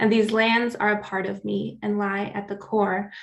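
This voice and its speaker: With an American accent, a woman speaks at a medium pitch in monotone, flat intonation. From US Pacific Northwest, central Oregon. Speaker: climate justice advocate. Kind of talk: prepared talk.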